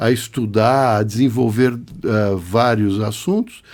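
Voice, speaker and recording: A man talks fairly slowly in a very clean recording with a silent background. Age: 60s. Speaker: biomedical scientist and physiologist. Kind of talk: podcast interview.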